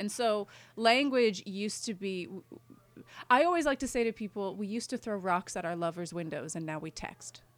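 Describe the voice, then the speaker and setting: In an unremarkable speaking voice with a Canadian accent, a woman of medium pitch talks at a moderate pace with lively intonation and big swings in loudness, on a very clean recording with a silent background. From Montreal, Quebec. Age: 30s. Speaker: writer. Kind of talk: interview.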